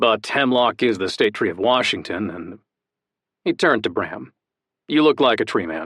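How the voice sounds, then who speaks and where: Put-on character voice from a man, medium-pitched, warm-toned and rumbling, with lively intonation, a moderate pace and long, frequent pauses. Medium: read story. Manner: warm, easygoing.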